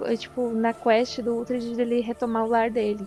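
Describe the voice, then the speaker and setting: A woman's flat, monotone delivery at a fairly slow pace with music in the background. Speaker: video game modder and gameplay YouTuber. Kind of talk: casual tutorial.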